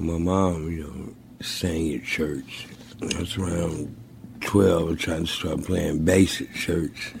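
A very deep, low-voiced man with an American accent, very slow pace and fairly even intonation, amid noticeable background noise. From St. Louis, Missouri. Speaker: blues musician. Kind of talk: interview.

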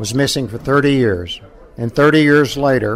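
A man at a fairly slow pace, with fairly even intonation over noticeable background noise. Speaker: war veteran, former fighter pilot. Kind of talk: personal interview, storytelling.

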